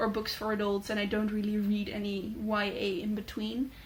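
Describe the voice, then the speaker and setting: With audible room echo, a woman in a Dutch accent speaks at a moderate pace with a fairly high pitch and a somewhat breathy voice. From Netherlands. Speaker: booktuber. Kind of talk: casual chat. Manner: hesitant, many fillers.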